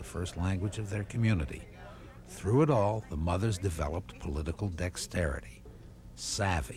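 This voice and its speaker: Very deep, low male speech with vocal fry, lively intonation and a moderate pace. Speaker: documentary narrator. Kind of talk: documentary narration.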